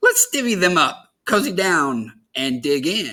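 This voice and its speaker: The speaker uses a put-on character voice. It sits at a middle pitch and moves at a fairly slow pace. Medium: read story. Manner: cheerful.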